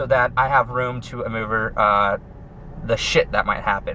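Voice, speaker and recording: Lively in intonation, a man talks at a fairly slow pace over noticeable background noise. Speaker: pro cyclist vlogger. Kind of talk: casual vlog monologue. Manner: loud; halting, many fillers.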